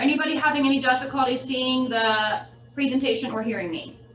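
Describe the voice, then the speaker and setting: A woman speaks at a high pitch with ordinary pitch variation. Noticeable background noise and audible room echo come through. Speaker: real estate agent and trainer. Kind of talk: lecture.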